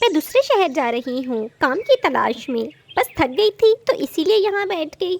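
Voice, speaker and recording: A woman does a cartoonish character voice at an extremely high pitch, with very wide pitch swings, a moderate pace and a dry, close sound with no echo. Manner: gentle, earnest.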